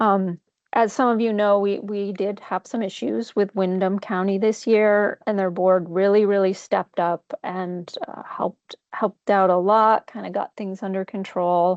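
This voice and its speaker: A woman with an ordinary speaking voice talks at a medium pitch and a fairly slow pace. Her intonation stays fairly even, with hardly any pauses. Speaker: grant program coordinator presenting budgets. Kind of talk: board meeting presentation.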